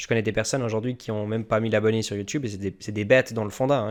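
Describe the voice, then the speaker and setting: Talking very fast, this man keeps a medium pitch and a fairly even intonation. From Switzerland. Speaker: YouTube crypto channel host. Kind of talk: interview.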